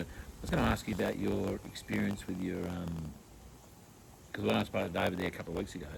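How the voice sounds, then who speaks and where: Talking very fast, a man speaks in an Australian accent. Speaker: podcast host. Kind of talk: casual interview chat. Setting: outdoors in a backyard. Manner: halting, many fillers.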